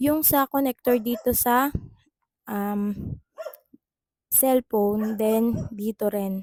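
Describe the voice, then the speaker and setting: A woman with a dark, mellow tone speaks at a very slow pace, leaving long, frequent pauses. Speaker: affiliate content creator. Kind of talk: unboxing product review. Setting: at home in bedroom. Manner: animated.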